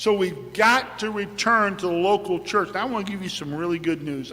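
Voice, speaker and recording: A man with a high pitch speaks in a raised, projected voice at a fairly quick pace, with ordinary pitch variation. Audible room echo is present. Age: 60s. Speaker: pastor. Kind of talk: sermon.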